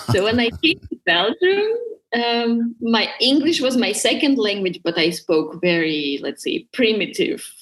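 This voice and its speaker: Her fairly high voice making very wide pitch swings, a woman talks at a moderate pace. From Russia. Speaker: business owner and development consultant. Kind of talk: interview.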